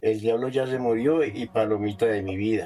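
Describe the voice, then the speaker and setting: The tone is dark and mellow. The delivery moves at a fairly slow pace. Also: man. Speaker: folk musician. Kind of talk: testimony.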